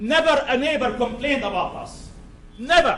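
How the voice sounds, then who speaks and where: A loud man with a non-native accent, extremely high in pitch, with ordinary pitch variation, amid noticeable background noise and audible room echo. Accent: foreign. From Syria. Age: 50s. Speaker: psychiatrist speaking at public hearing. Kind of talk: public testimony. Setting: town board public meeting.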